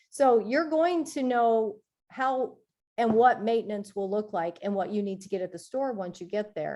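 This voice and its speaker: A woman speaks in an unremarkable speaking voice with ordinary pitch variation. The background is quiet. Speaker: health coach. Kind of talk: reading aloud.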